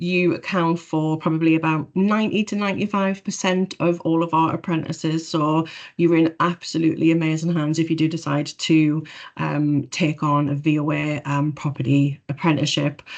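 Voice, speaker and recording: Against a quiet background, a woman with a very deep, low pitch talks with fairly even intonation in a Geordie accent. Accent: Geordie (Newcastle). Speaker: government property profession staff. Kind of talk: webinar presentation. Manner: fast.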